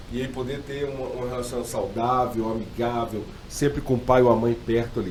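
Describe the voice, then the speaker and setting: A man speaks at a moderate pace and a medium pitch, with fairly even intonation. There is noticeable background noise and audible room echo. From Brazil, mixed regions. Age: 40s. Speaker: pastor. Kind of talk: podcast interview.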